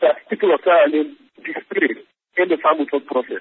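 A man with a Sierra Leonean accent and very wide pitch swings. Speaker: peacebuilding program director. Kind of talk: interview. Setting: phone call.

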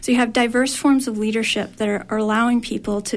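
Noticeable background noise accompanies fairly quick speech in a monotone, flat intonation. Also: woman. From Maine. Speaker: university researcher. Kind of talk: radio interview.

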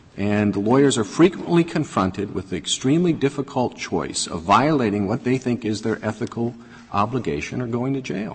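With lively intonation and a medium pitch, a man talks fairly quickly over noticeable background noise. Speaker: presiding judge. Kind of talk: court proceedings. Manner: formal.

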